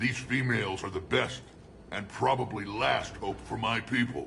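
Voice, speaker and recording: A man speaks in a put-on character voice at medium pitch and a moderate pace. Background noise is clearly audible. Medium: video game. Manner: gruff, blunt.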